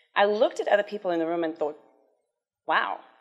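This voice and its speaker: Her voice carries a South African accent. This woman speaks at a fairly low pitch. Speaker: cancer survivor and charity development officer. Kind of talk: conference talk.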